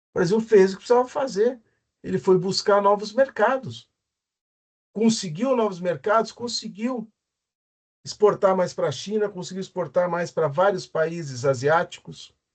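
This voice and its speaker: A man speaks at a high pitch with lively intonation. He leaves long, frequent pauses. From Brazil. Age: 60s. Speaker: economics professor. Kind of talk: lecture. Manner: halting.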